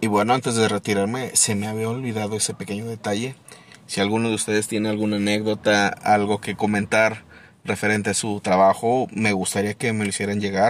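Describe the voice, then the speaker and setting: Delivered in a flat monotone, the speech moves at a fairly quick pace. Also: man, fairly low pitch for a man. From Mexico, Torreón (La Laguna). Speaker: podcast host. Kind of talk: casual monologue. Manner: casual, hesitant with repetitions.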